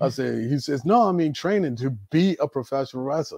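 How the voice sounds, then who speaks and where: An unremarkable speaking voice from a man, fairly quick in pace with lively intonation, on a very clean recording with a silent background. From US, Baltimore, Maryland. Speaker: retired professional wrestler. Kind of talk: casual interview.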